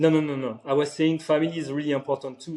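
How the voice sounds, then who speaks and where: A man with a French accent speaks at a fairly high pitch. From France, Paris. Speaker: private chef. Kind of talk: casual interview. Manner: halting, many fillers.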